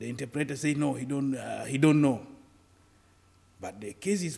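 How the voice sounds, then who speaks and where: The man talks at a fairly quick pace with vocal fry. His pitch sits fairly high. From Sudan. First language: Arabic. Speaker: refugee activist. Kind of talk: interview. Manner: halting.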